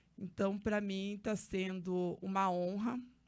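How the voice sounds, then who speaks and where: A woman at medium pitch, very slow, in a very clean recording over a silent background. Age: 30s. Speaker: social activist and council candidate. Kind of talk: podcast interview. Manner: hesitant, with fillers.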